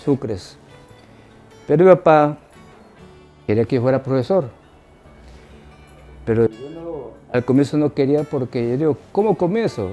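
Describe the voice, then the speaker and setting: A fairly high-pitched man with lively intonation and long, frequent pauses, music playing in the background. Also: fairly slow pace. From Ecuador, Manabí (Montecristi). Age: 80s+. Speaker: retired teacher. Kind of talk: interview answer.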